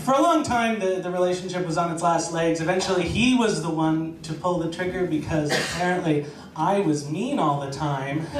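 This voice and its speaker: Speech at a moderate pace in an American accent, with ordinary pitch variation, audible room echo, and noticeable background noise. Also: man. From United States. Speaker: storyteller. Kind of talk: live storytelling. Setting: stage with audience.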